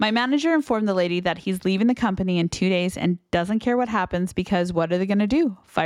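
With ordinary pitch variation, the text is plainly read aloud.

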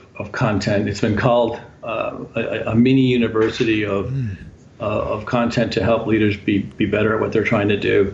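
Room echo is audible. The talking proceeds at a moderate speed. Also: man. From New England. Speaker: business executive. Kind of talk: interview.

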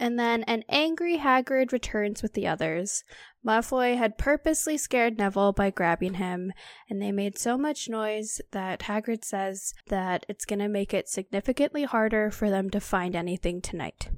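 The speaker has a plain, everyday voice with lively intonation. The pace is moderate, and the sound is dry and close with no echo. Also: woman, fairly high pitch for a woman, very clean recording, silent background. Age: 20s. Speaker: podcast co-host, parent of a toddler. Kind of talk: casual chat with chapter recap.

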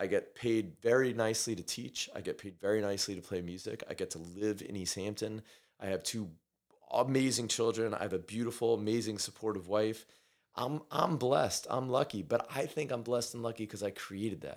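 In a New York accent, a man with a medium pitch talks at a fairly quick pace with ordinary pitch variation. The recording is very clean, with a silent background. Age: 40s. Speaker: science teacher and musician. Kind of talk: casual chat.

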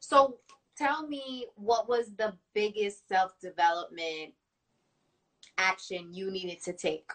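At a very slow pace with long, frequent pauses, a woman speaks at a medium pitch with lively intonation. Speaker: interviewer. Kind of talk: interview conversation. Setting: video call, IGTV series.

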